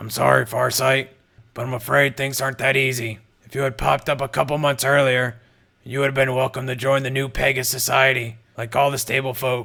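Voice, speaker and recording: Raspy and quick-paced, this is a put-on character voice. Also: man, medium pitch for a man. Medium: read story. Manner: gruff, blunt.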